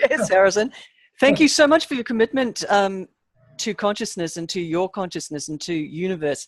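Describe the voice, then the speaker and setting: Speaking at a fairly quick pace with lively intonation, a woman with an Australian accent comes through in a dry, close sound with no echo. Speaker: talk show co-host. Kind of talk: interview.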